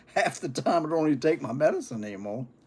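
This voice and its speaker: The speech moves at a fairly quick pace with very wide pitch swings. Vocal fry runs through the voice. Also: man. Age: 70s. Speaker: pipe-smoking vlogger. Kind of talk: casual monologue.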